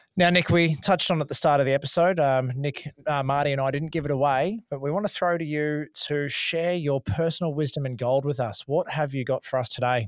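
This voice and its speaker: At a fairly quick pace, a man with an Australian accent and a fairly high pitch speaks with ordinary pitch variation. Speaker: podcast host. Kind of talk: casual chat.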